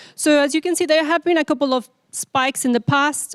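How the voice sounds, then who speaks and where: A woman's voice with a dry, close sound and no echo. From Mexico, Jalisco. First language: Spanish. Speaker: data scientist. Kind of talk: lecture. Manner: halting, many fillers.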